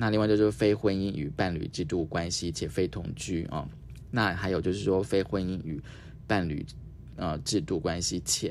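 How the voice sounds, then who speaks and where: A man talks at a moderate pace with a very deep, low pitch and ordinary pitch variation. Vocal fry runs through his voice. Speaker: radio host. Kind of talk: casual interview.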